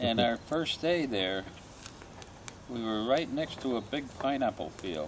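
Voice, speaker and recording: Delivered at a fairly slow pace with lively intonation and long, frequent pauses, the speech sits over noticeable background noise. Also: man, medium pitch for a man. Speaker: war veteran. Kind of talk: interview answer.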